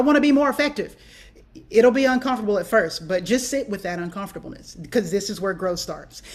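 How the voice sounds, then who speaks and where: A woman with a fairly high pitch talks very fast, her pitch varying in an ordinary way. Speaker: band director giving a clinic. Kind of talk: conference presentation.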